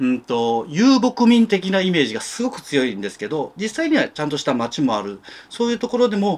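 Moving at a fairly quick pace, a man's voice makes very wide pitch swings. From Japan. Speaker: novelist. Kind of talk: interview monologue. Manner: halting, many fillers. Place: home room.

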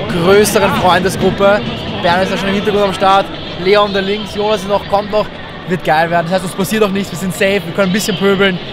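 Speech at a very fast pace sounds dry with no echo, while clear music plays in the background. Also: man. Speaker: fan vlogger. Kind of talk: casual vlog chat. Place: stadium. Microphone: phone near.

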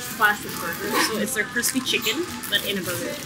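A woman's voice with ordinary pitch variation, clear music in the background. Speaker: travel vlogger. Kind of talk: casual vlog chat. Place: cafe. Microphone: camera far.

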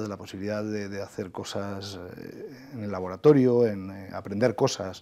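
At a fairly slow pace, a man speaks in a fairly low, dark and mellow voice with fairly even intonation. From Spain, inland Valencia (Requena, Castilian-speaking); Valencia, Spain. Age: 40s. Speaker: government official and agricultural engineering professor; agricultural engineering professor. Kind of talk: TV interview. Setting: TV studio. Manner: hesitant, many fillers. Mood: calm, reflective. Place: studio. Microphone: lapel.

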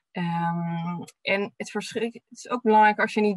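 A woman with fairly even intonation, a dry sound with no echo and a quiet background. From Netherlands, Delft; Netherlands. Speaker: physiotherapist and researcher. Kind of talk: webinar presentation. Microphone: webcam.

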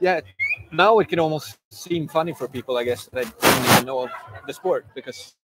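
Against noticeable background noise, a man with a Swedish accent speaks at a moderate pace, fairly high in pitch with ordinary pitch variation, in a dry sound with no echo. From Sweden. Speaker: pro mountain biker; guest. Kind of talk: casual chat. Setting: live at a bike event. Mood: relaxed, reflective. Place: street. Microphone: lapel.

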